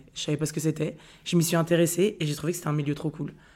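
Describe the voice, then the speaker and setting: A woman's very deep, low voice at a very fast pace, with fairly even intonation. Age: 30s. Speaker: content creator and author. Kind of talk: casual chat.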